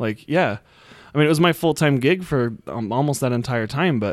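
In an American accent, a man with a plain, everyday voice speaks at a moderate pace with lively intonation. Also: very clean recording, silent background. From Utah. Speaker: lawn care business owner. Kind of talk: casual interview chat.

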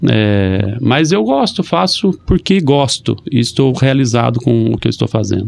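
In an unremarkable speaking voice, a man talks at a fairly slow pace with hardly any pauses, very even loudness, a medium pitch and lively intonation. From Brazil, Maringá (Paraná). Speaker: mayor. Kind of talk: casual interview. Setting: radio studio.

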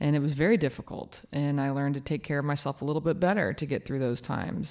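A woman speaks at a very fast pace with a very deep, low pitch, ordinary pitch variation and vocal fry. The recording is very clean, with a silent background. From Kansas. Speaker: mayor. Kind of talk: interview.

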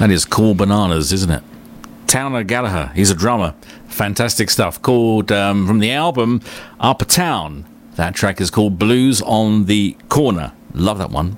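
In an Australian accent, a man with a fairly low voice speaks with lively intonation. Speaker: radio host. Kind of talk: radio DJ patter, relaxed friendly presenter chat introducing tracks and plugging the show. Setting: radio studio. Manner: easygoing; warm, conversational, unhurried.

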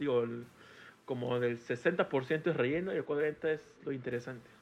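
The speaker is a man whose voice sits at a fairly high pitch. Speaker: podcast guest. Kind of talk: casual chat. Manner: animated.

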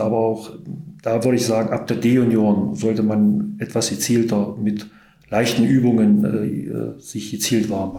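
In a room with audible echo, a man speaks at a fairly slow pace and a medium pitch. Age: 50s. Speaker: sports club chairman. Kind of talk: casual interview. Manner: hesitant, many fillers.

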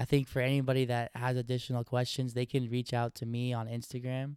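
A man with an American accent at a moderate pace, in a dry, close, echo-free sound and a very clean recording over a silent background. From Oregon, US. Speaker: investing educator and entrepreneur. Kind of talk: interview conversation.

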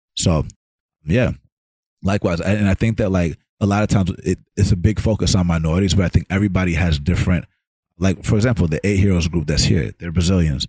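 A man with a very deep, low pitch and a dark, mellow tone speaks at a very fast pace, somewhat breathy, with ordinary pitch variation. The sound is dry and close, with no echo. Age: 30s. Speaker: podcast host. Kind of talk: interview.

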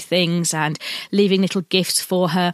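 In an English accent, a woman at medium pitch speaks in a monotone with flat intonation at a moderate pace, the very clean recording dry and close with no echo and a silent background. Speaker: podcast host, sewing pattern designer. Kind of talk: casual monologue.

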